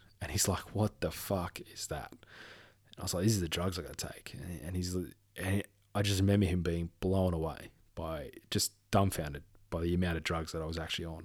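Recorded very cleanly against a silent background, the speaker talks at a moderate pace with fairly even intonation. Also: man, very deep, low pitch for a man. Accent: Australian. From Western Australia. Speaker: podcast host. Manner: halting, emotional; informal, warm.

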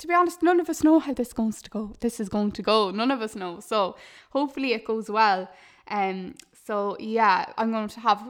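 A woman with an Irish accent speaks in an animated tone at a fairly high pitch. The recording is very clean, with a silent background. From Ireland. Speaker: podcast host, digital marketer. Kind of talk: casual monologue.

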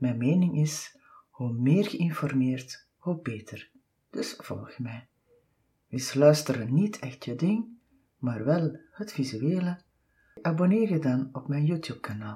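Slow-paced and lively in intonation, a woman's very deep, low voice sounds dark, mellow and somewhat breathy. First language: Dutch. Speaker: podcast host and massage therapist. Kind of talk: scripted outro; casual interview.

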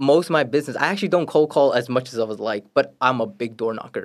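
A man speaks with a New York accent and lively intonation. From Brooklyn, New York. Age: 20s. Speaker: real estate agent. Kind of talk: casual chat.

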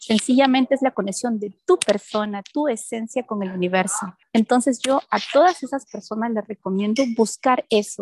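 Recorded dry and close with no echo, a woman uses an ordinary speaking voice at a fairly high pitch with ordinary variation. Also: moderate pace. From Peru. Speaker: life coach and event producer. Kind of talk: radio interview.

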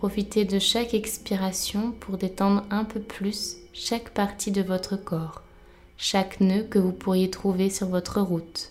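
A woman speaks very slowly at a medium pitch, her somewhat breathy voice soothing and calm yet monotone and flat. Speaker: meditation guide. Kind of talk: guided meditation. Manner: slow, soft, soothing, calm with long pauses.

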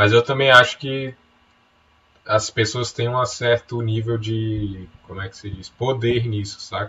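Speaking in a normal speaking voice, a man talks at a fairly slow pace with a medium pitch and fairly even intonation. His loudness swings widely. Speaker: podcast co-host, writer. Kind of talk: casual chat.

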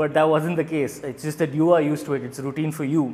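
A man speaks at a fairly quick pace with fairly high pitch. Noticeable background noise runs behind him. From India. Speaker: doctor and stand-up comedian. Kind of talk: casual chat. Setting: pizza restaurant.

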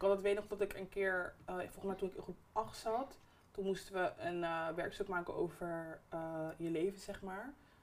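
Her pitch is medium for a woman, with ordinary pitch variation. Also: moderate pace. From Netherlands (Barendrecht) with years in Suriname. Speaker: podcast host. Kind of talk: casual chat. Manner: loud, raises voice.

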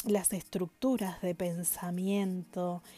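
Speaking at a very slow pace, a woman uses a medium pitch and fairly even intonation with a dark, mellow tone. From Argentina, Paraná, Entre Ríos. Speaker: tarot reader and herbalist. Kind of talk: informal presentation of a tarot deck.

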